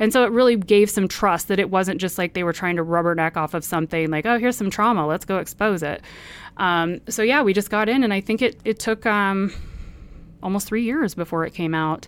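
This woman has an unremarkable speaking voice with an American accent, a medium pitch and ordinary pitch variation. She talks at a fairly quick pace on a very clean recording with a silent background. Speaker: makeup artist and cult survivor. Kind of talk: interview.

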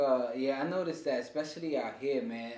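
A man speaks with an American accent and ordinary pitch variation. Audible room echo surrounds the voice. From New York (Harlem). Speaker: podcast host. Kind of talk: casual interview chat.

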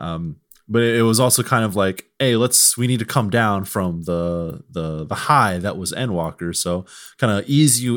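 In a very clean recording with a silent background, a man with a slight Southern US accent speaks at a moderate pace. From US South, Mississippi. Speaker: video game journalist. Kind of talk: casual chat.

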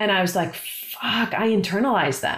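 A woman speaks with a plain, everyday voice. Her pace is moderate and her pitch variation ordinary. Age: 40s. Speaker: podcast host. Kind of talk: casual chat.

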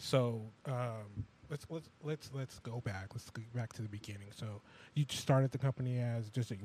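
Speaking fairly slowly, a man with a medium-pitched, somewhat breathy voice and a dark, mellow tone keeps his intonation fairly even. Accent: American. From California. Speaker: radio show co-host. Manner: conversational interviewer.

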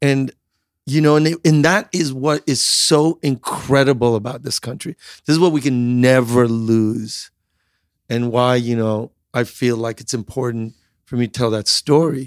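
At a moderate pace, a man of medium pitch speaks in an ordinary speaking voice with ordinary pitch variation, recorded as a dry, close sound with no echo. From US Midwest (central Illinois), born in Iran. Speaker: entrepreneur. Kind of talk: interview.

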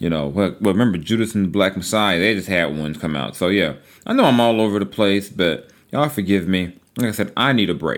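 This man speaks very fast with a fairly low pitch and ordinary pitch variation. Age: 40s. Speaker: sports journalist and podcast host. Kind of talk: casual solo podcast monologue. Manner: casual, conversational.

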